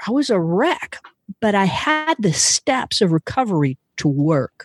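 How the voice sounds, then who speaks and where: A woman's fairly slow speech with very wide pitch swings, in a dry, close sound with no echo. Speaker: podcast host in recovery. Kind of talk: casual interview.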